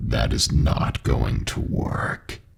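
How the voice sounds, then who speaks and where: A man puts on a character voice. His delivery is raspy. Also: very deep, low pitch for a man. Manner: demonic, menacing.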